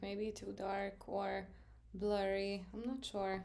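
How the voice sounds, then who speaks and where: Amid noticeable background noise and audible room echo, a woman with a Serbian accent speaks at a medium pitch in a monotone, flat intonation. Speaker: art teacher. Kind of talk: live stream tutorial. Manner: casual, filler-heavy.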